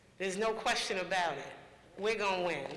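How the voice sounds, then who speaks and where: Fairly even intonation from a man with a high pitch, with audible room echo and noticeable background noise. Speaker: panel moderator. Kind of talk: panel discussion moderation.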